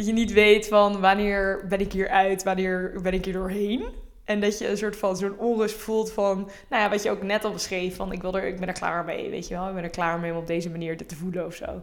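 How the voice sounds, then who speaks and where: Delivered at a fairly quick pace with flat, monotone intonation, the speech carries audible room echo. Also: woman, medium pitch for a woman. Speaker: podcast co-host. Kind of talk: casual chat.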